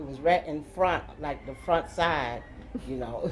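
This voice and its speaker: This woman has an ordinary speaking voice with an American accent and a fairly low pitch. She talks at a fairly slow pace. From Florida, St. Petersburg. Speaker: interviewee. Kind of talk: casual chat.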